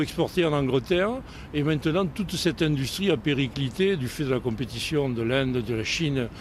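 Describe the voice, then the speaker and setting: A man talks at a fairly quick pace with lively intonation. Noticeable background noise runs under his voice. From southern France, Montpellier. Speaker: French retiree living abroad. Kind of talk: outdoor interview. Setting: outdoors on a city square.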